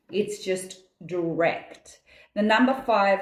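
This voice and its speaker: An animated woman with an Australian accent, medium pitch and ordinary pitch variation. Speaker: numerologist. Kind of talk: daily reading monologue.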